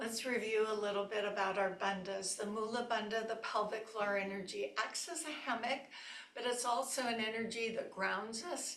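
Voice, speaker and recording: A woman speaks with a warm tone, fairly high pitch and ordinary pitch variation, with audible room echo around her voice. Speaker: yoga teacher. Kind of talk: guided yoga class. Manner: slow-paced; warm and chatty.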